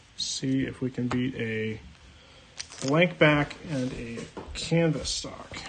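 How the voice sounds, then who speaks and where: A man speaks in a medium pitch with noticeable background noise behind him. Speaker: card-breaking streamer. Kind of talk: live stream card opening. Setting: live stream.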